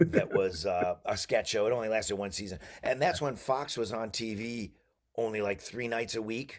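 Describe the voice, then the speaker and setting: A man with an American accent speaks at a moderate pace and medium pitch, with ordinary pitch variation and an unremarkable speaking voice. The recording is very clean with a silent background. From Syracuse, New York, USA. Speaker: voice actor and comedian. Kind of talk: interview answer. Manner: relaxed, jokey, chatty.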